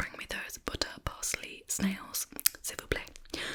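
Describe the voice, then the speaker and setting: A woman with a British accent whispers at a very slow pace over noticeable background noise. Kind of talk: ASMR eating video with rambling. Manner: whispered.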